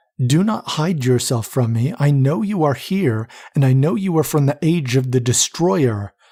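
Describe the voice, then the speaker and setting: Soft-spoken and with lively intonation, a man puts on a character voice at a medium pitch. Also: moderate pace. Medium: read story. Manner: formal, proper.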